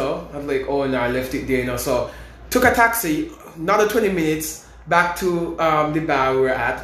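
High-pitched male speech full of lively intonation, set against audible room echo and noticeable background noise. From St. Kitts. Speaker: university student and singer. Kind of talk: casual chat.

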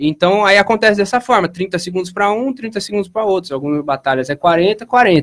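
With lively intonation, a man speaks at a moderate pace and a high pitch. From Piracicaba, São Paulo state, Brazil. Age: 20s. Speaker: clothing brand founder and rap battle organizer. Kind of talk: casual interview chat.

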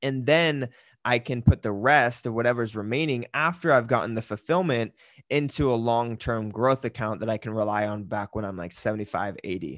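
A man speaks in a plain, everyday voice at medium pitch and a moderate pace, with ordinary pitch variation and a dry, close sound with no echo. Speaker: podcast host and fitness business coach. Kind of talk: casual solo podcast monologue. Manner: casual, filler-heavy.

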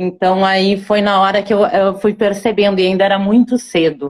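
This woman talks at a moderate pace, her medium pitch held in fairly even intonation. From born in Ecuador, raised in northeast Brazil (Rio Grande do Norte). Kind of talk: casual interview. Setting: online live video call.

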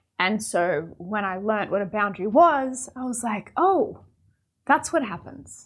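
A woman's fairly high voice swings very widely in pitch. The recording is very clean with a silent background. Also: fairly slow pace. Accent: Australian. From Australia. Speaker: podcast host. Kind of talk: solo reflective monologue. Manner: casual, conversational.

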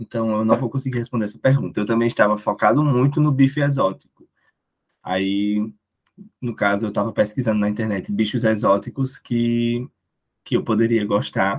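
A man talks at a moderate pace. His medium pitch shows ordinary variation. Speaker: student federation director. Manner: hesitant.

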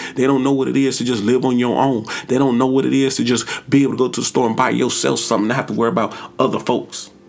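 A man's medium-pitched voice at a very fast pace, flat and monotone, with noticeable background noise. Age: 30s. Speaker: podcast host giving relationship advice. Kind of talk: solo monologue. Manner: casual, conversational.

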